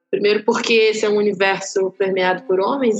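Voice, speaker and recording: The speech moves at a fairly quick pace with fairly even intonation. Noticeable background noise sits behind it. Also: woman. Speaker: actress and doula. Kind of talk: casual chat.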